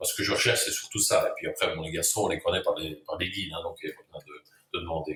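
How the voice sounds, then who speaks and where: Talking at a very fast pace with hardly any pauses, a man shows big swings in loudness. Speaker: chef. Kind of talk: interview. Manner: hesitant, repeats words.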